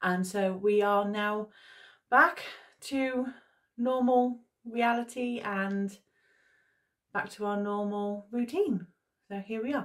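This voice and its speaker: A woman at a very slow pace, with long, frequent pauses, against a quiet background. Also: ordinary pitch variation. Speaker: history vlogger. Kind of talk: casual vlog chat. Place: home room.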